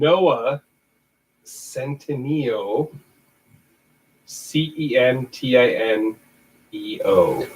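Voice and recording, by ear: With a Michigan accent, a man talks at a very slow pace, leaving long, frequent pauses. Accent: Michigan, Midwestern.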